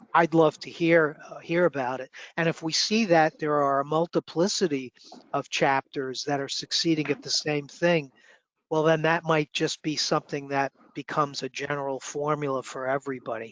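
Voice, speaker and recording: With a New York accent, a man speaks at a moderate pace in a fairly high voice with fairly even intonation. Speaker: student chapter mentor. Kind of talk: online meeting discussion.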